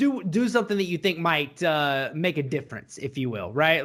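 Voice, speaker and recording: A man with a Southern US accent talks at a moderate pace in a fairly high pitch. His tone is bright and sharp, on a very clean recording with a silent background. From US South. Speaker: podcast co-host. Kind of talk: casual chat.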